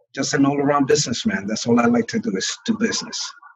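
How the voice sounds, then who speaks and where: A man with a Brooklyn accent talks at a fairly high pitch, his voice making very wide pitch swings. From New York, Brooklyn. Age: 40s. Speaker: real estate broker. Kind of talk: interview.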